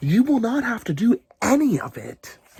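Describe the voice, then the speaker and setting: A man's put-on character voice at an extremely high pitch. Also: moderate pace. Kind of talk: children's read-aloud. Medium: read story.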